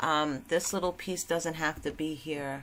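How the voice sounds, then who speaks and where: A woman speaks in a plain, everyday voice, fairly low in pitch and at a fairly slow pace. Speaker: crafting tutorial creator. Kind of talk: tutorial.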